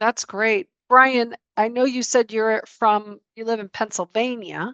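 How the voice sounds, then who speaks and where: With a Chicago accent, a woman speaks in a fairly high pitch and a bright, sharp tone, her intonation fairly even and her loudness swinging widely, in a dry, close sound with no echo against a quiet background. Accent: Chicago twang. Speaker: networking show host, lender. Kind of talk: casual online networking chat.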